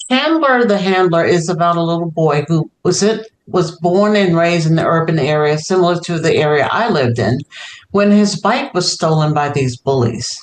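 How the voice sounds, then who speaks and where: A woman with an American accent has a normal speaking voice, fairly low in pitch, with lively intonation. She keeps a moderate pace and very even loudness. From New York, South Bronx. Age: 60s. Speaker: children's author. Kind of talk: interview.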